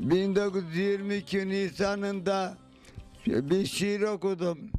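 Faint music sits behind a man speaking very slowly at a high pitch. His intonation is fairly even, and the sound is dry with no echo. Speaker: Yoruk villager. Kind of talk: interview answer. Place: home room. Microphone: handheld.

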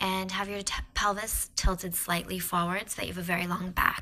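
A woman talks at a fairly quick pace in a tone that is gentle and warm yet also bright and sharp. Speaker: yoga and meditation instructor. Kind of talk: guided mantra meditation, breath-paced repetition of cue words. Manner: gentle, warm and encouraging.

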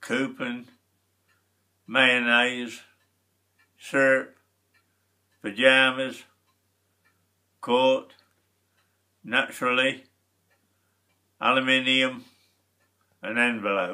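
Over a quiet background, a man speaks at a very slow pace in a monotone, flat intonation, with long, frequent pauses. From Lincolnshire, England. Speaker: uploader's father. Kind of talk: word list reading. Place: home room. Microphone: webcam.

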